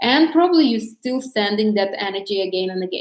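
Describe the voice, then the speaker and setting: A woman at medium pitch, with a non-native accent and a fairly quick pace. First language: not English. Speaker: dating coach. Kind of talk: live stream talk. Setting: live stream on social media. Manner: halting.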